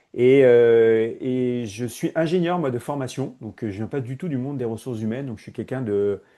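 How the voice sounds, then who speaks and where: At a moderate pace and with hardly any pauses, a man speaks in a medium pitch with ordinary pitch variation. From Paris, France. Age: 40s. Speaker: HR innovation consultant. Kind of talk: podcast interview. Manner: hesitant, many fillers.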